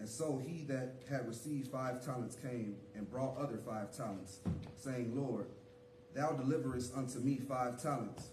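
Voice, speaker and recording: With noticeable background noise present, a man talks, his pitch varying in an ordinary way. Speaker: church leader. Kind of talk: scripture reading, call and response. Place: church.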